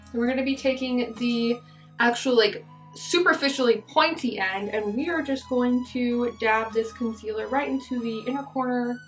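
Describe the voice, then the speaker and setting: Against background music, a woman with a high pitch speaks at a moderate pace with ordinary pitch variation. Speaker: beauty vlogger. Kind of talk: casual talk to camera.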